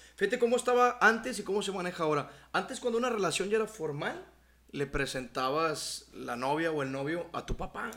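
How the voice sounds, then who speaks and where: Pitched high for a man, this voice moves at a fairly quick pace with very wide pitch swings. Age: 30s. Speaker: podcast co-host, comedian. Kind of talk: casual chat.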